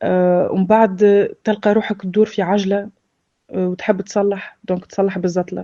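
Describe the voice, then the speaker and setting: Speaking at a moderate pace in a dark, mellow tone, a woman with a Tunisian accent sits at a medium pitch. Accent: Tunisian Arabic with French loanwords. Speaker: former drug addict sharing experience. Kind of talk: personal testimony. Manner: hesitant, many filler sounds.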